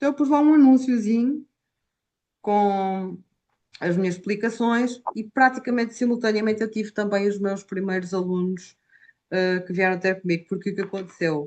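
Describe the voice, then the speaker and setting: At a moderate pace, a woman with an Algarve accent talks in a medium pitch with ordinary pitch variation. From Portugal, Algarve. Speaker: Portuguese language teacher. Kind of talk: interview. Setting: video call.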